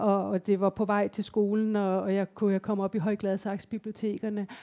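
A woman talks at a moderate pace and fairly high pitch. Her tone is dark and mellow, with a dry, close sound and no echo. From Denmark, Copenhagen area. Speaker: novelist. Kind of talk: live author interview. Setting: library stage with live audience.

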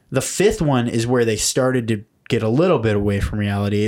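Recorded very cleanly over a silent background, a man speaks at a medium pitch with ordinary pitch variation. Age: 20s. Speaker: podcast co-host. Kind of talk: casual chat. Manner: animated.

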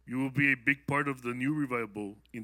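A man with a bright, sharp tone talks at a moderate pace in a very clean recording with a silent background. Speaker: prophetic word giver. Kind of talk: prophetic words to audience.

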